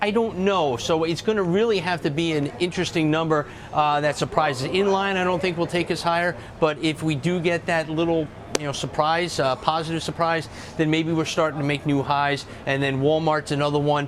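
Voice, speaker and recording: Over noticeable background noise, the speaker goes at a fairly quick pace with fairly even intonation. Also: man, fairly high pitch for a man. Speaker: market strategist. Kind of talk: TV interview.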